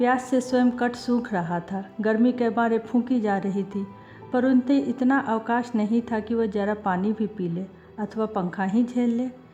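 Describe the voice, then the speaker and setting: Music in the background behind a woman's fairly high pitch and ordinary pitch variation. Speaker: audiobook narrator. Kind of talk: audiobook story reading.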